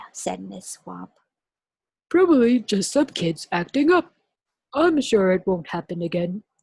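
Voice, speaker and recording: Putting on a raspy character voice, a woman speaks fairly slowly at medium pitch with big swings in loudness and long, frequent pauses, in a dry, close sound with no echo. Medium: read story. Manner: stern, commanding.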